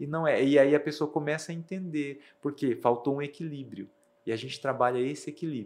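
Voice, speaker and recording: An ordinary speaking voice, fairly quick and fairly even in intonation. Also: man, fairly high pitch for a man. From Brazil, Rondônia (Ariquemes), raised partly in Mato Grosso do Sul. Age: young. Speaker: math teacher and behavioral coach. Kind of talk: interview.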